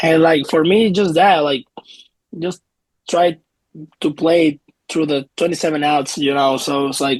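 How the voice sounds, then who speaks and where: With a Puerto Rican accent, a man speaks fairly high in pitch and fairly slowly, with fairly even intonation and long, frequent pauses, in a dry, close sound with no echo. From Puerto Rico. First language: Spanish. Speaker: professional baseball player. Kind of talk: interview.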